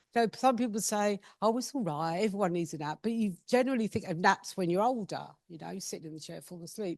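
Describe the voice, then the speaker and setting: With an English accent, a woman talks at a fairly quick pace with lively intonation. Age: 50s. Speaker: patient speaker. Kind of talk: personal talk at patient event. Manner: casual, self-deprecating.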